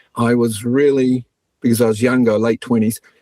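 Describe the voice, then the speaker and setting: A man speaks with a New Zealand accent and fairly even intonation. The sound is dry and close with no echo. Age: 60s. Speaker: astrologer. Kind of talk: interview.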